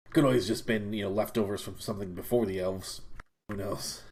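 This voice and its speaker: A man's raspy, fairly low put-on character voice at a very fast pace. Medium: actual play.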